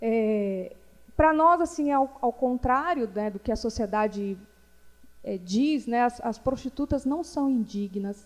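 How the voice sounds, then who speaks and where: On a very clean recording with a silent background, a woman speaks very slowly in a high pitch. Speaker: feminist activist, panel speaker. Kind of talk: panel talk. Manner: hesitant, many fillers.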